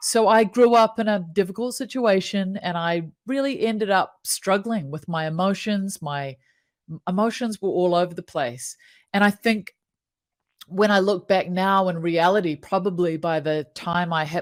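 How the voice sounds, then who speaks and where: A woman with a New Zealand accent is heard in a very clean recording with a silent background. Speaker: happiness coach. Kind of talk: casual interview.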